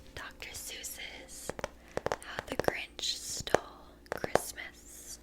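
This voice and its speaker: Someone whispers as clear noise carries on in the background. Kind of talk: soft-spoken ASMR read-aloud of a children's book. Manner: soft-spoken, whispery.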